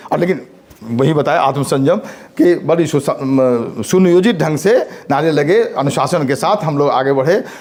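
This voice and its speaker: A man is speaking. His intonation is lively. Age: 60s. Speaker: college principal. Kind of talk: speech. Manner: halting.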